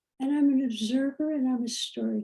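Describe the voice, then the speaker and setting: A woman's high-pitched voice with a dark, mellow tone. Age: 80s+. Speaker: physician and storyteller. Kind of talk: dialogue talk on spirituality.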